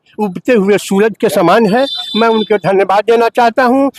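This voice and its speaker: There's ordinary pitch variation in this man's voice, heard with a dry, close sound and no echo. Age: old. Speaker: voter interviewed on the street. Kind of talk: street interview, political opinion. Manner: animated, emphatic with repetition.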